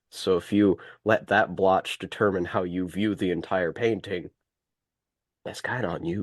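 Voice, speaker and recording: With long, frequent pauses, a man with an American accent speaks in a very deep, low voice, recorded dry and close with no echo. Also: fairly even intonation, moderate pace, quiet background. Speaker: call participant. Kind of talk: casual chat.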